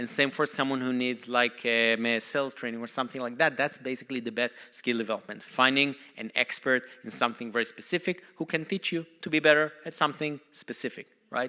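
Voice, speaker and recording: A man's medium-pitched, bright, sharp voice with a non-native accent, ordinary pitch variation and a very fast pace. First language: not English. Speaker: company CEO. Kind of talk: conference talk.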